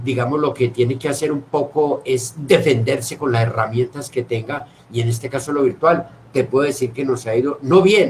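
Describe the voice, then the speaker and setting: Speaking at a fairly slow pace, a man with a medium pitch sounds somewhat breathy, his intonation fairly even. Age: 60s. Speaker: theatre director. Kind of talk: casual chat. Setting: video call.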